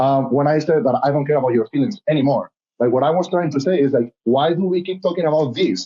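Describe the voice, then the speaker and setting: The voice moves at a very fast pace with a Spanish accent. Its loudness stays very even, and its pitch varies in an ordinary way. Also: man, fairly high pitch for a man. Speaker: reality TV contestant and model. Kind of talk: casual interview. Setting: podcast. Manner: animated.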